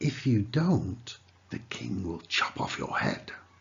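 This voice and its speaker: Here a man talks at a very slow pace. His voice is somewhat breathy. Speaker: narrator. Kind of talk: children's story reading.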